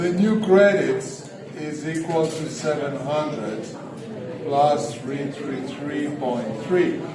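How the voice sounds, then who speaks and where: A man's fairly high voice at a very slow pace, with ordinary pitch variation, noticeable background noise, and audible room echo. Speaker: economics lecturer. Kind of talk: lecture. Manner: loud. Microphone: no microphone.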